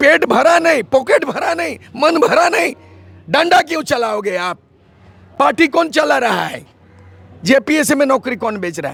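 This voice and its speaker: An animated man with extremely high pitch and very wide pitch swings talks with long, frequent pauses. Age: 70s. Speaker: politician. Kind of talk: interview.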